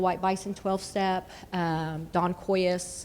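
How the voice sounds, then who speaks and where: A woman speaks in an Oklahoma accent at a medium pitch. Her intonation stays monotone and flat. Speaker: panelist. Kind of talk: panel discussion.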